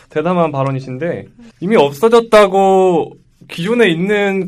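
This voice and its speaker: A man speaks in an animated tone, his high pitch taking very wide swings. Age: 20s. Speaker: podcast co-host. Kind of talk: casual debate.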